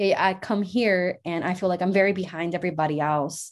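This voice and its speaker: Over a quiet background, a woman in an American accent talks at a fairly quick pace with medium pitch, fairly even intonation and an unremarkable speaking voice. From Mexico, then Yuma, Arizona from age 11. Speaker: university student. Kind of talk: interview.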